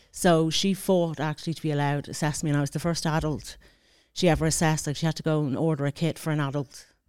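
With an Irish accent, a woman talks at a very fast pace in a very deep, low pitch and a monotone, flat intonation, on a very clean recording with a silent background. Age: 40s. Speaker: mature student. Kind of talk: interview. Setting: studio.

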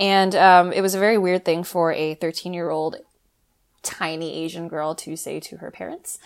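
A woman with an American accent, fairly low in pitch, at a moderate pace with big swings in loudness, on a very clean recording with a silent background. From US West Coast, Los Angeles. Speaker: magazine editor, former doctoral student. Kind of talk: casual interview chat. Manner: bubbly; hesitant with many fillers.

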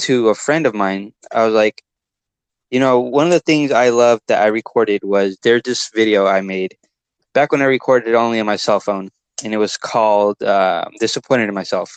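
Dry and close with no echo over a quiet background, a man with a plain, everyday voice talks at a medium pitch and moderate pace with ordinary pitch variation. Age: 20s. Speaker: videographer and entrepreneur. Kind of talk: casual interview chat.

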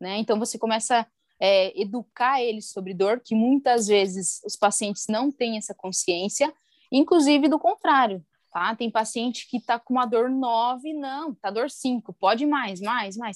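A woman with a fairly high pitch speaks at a fairly slow pace in an ordinary speaking voice, with ordinary pitch variation. The recording is very clean with a silent background, its sound dry and close with no echo. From Brazil, interior of Paraná. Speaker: physiotherapist and clinic partner. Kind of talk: interview.

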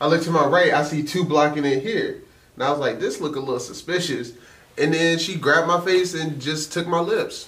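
A man with a high pitch and fairly even intonation speaks at a fairly quick pace. Background noise is noticeable. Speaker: podcast co-host. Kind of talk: casual chat.

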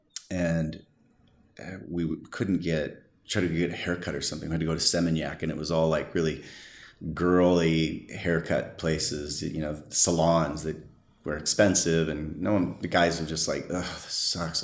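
With an American accent, the speaker delivers a monotone, flat intonation at a moderate pace amid audible room echo. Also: man, very deep, low pitch for a man. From US West Coast, San Diego, California. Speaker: surf photographer. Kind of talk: interview. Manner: halting.

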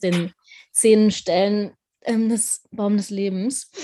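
Over a quiet background, a woman speaks in a dark, mellow tone that is somewhat breathy, with monotone, flat intonation. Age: 20s. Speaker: podcast host, tarot reader. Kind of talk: interview.

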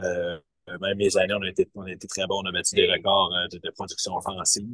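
A man speaks at a moderate pace. His sound is dry and close, without echo. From Quebec, Eastern Townships (Waterville). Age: 40s. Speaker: baseball coach. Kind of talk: interview. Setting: video call from a bus.

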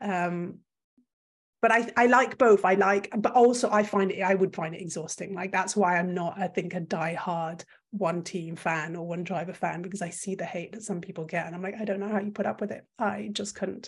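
Somewhat breathy and with a French accent, a woman talks at a moderate pace and medium pitch, her intonation fairly even but her loudness swinging widely. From Belgium. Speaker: content creator. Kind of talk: casual interview. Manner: talkative, long-winded.

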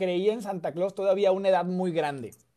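Here is a man with a Mexican accent and a high pitch. His tone is dark and mellow. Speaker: political content creator. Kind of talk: casual chat.

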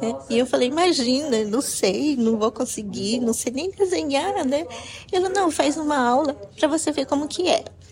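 Over noticeable background noise, a high-pitched woman speaks at a moderate pace with lively intonation. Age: 50s. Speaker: painter. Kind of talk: interview.

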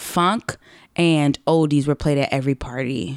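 A woman with an American accent and a very deep, low pitch, at a fairly slow pace, in a very clean recording with a silent background and a dry, close sound with no echo. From Los Angeles, US West Coast. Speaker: comedy writer. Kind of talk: casual chat.

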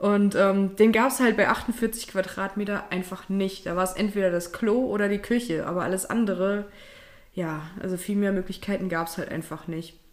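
In a plain, everyday voice, the speaker talks at a moderate pace with fairly even intonation. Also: woman, medium pitch for a woman. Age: 30s. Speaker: podcast co-host. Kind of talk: casual chat.

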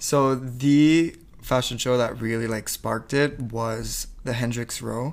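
Using fairly even intonation, a man talks at a very slow pace and medium pitch. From New Brunswick, Canada. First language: French. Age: 20s. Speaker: fashion entrepreneur and student. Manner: casual, chatty, hesitant with fillers.

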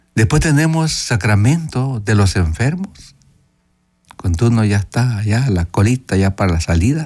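A soft-spoken, somewhat breathy man at medium pitch, with very wide pitch swings and very even loudness. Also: fairly slow pace. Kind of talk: radio catechesis talk with call-in.

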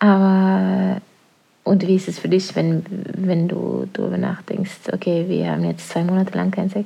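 A woman speaks at a fairly slow pace with a Norwegian accent. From Norway. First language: Norwegian (speaking German). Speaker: podcast co-host, parent. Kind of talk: casual chat.

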